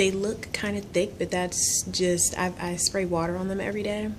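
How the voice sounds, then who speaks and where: A quiet woman speaks at a moderate pace in a fairly low, flat monotone, with audible room echo. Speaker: beauty vlogger. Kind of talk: casual vlog ramble. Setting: office at work. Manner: quiet, talking low; hesitant, many ums.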